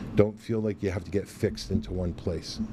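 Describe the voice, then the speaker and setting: A man with a fairly low pitch talks in a dark, mellow tone that is somewhat breathy. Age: 60s. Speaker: chef and restaurant owner. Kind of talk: interview.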